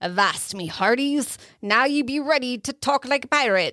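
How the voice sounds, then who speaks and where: A woman uses a high-pitched put-on character voice at a moderate pace. The recording is very clean, with a silent background. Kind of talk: playful, salty.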